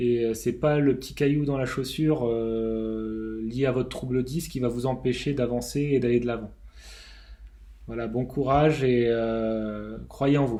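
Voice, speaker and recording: Heard with audible room echo, a man talks at a very slow pace in a medium pitch. His tone is dark and mellow, his intonation fairly even. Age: 30s. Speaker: aerospace engineer sharing dyslexia testimony. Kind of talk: testimony. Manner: halting, many hesitations.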